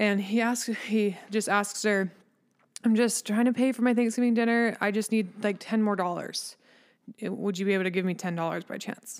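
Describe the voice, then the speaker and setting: A woman uses a plain, everyday voice at a fairly high pitch with fairly even intonation. The recording is very clean, with a silent background. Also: moderate pace. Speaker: podcast co-host. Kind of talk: casual chat.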